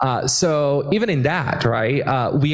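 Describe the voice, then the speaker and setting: There is noticeable background noise behind a man speaking at a medium pitch. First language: Portuguese. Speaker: immigrant rights activist. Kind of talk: panel discussion. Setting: stage with audience. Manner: animated.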